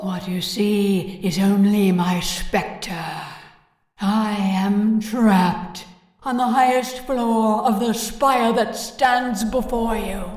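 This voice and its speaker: A female-sounding, put-on character voice talks at a very slow pace. Her pitch is fairly high, and there is a slight echo. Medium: audio drama. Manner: dry, blunt.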